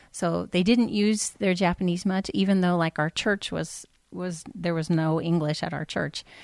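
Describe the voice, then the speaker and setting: A woman with an American accent uses a normal speaking voice, fairly low in pitch with ordinary pitch variation, at a fairly slow pace, in a dry, close, echo-free sound on a very clean recording with a silent background. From California. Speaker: missionary. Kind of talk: casual interview.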